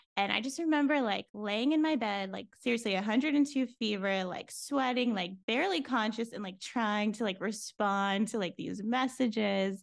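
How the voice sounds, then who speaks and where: A plain, everyday voice from a woman with an American accent, fairly high in pitch with ordinary pitch variation, at a moderate pace with hardly any pauses against a quiet background. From Florida, US. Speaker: business consultant. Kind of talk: casual interview chat.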